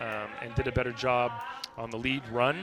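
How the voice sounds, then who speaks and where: Through noticeable background noise, a man talks at a moderate pace and medium pitch in a monotone, flat intonation. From Canada. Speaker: drift event commentator and judge. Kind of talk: live commentary. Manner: neutral diction.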